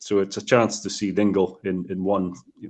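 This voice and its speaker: Speaking at a fairly quick pace, a man talks with a Scottish accent. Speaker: whiskey distiller. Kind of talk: interview. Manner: halting.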